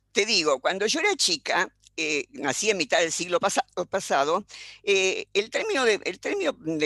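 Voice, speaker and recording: A woman speaks at a moderate pace and medium pitch, her tone bright and sharp. Her pitch swings very widely, and the sound is dry and close with no echo. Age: 80s+. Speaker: philosopher. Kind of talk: panel discussion. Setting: video call.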